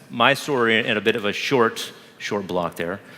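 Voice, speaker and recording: Bright, sharp tone from a male speaker. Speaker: marketing executive. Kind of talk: live product demo talk with Q&A. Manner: fast.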